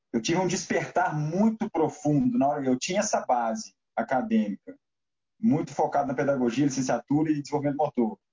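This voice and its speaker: A somewhat breathy man's voice, fairly high-pitched, at a fairly quick pace with very wide pitch swings. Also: very even loudness. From Minas Gerais, Brazil (Belo Horizonte). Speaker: basketball coach. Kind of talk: interview.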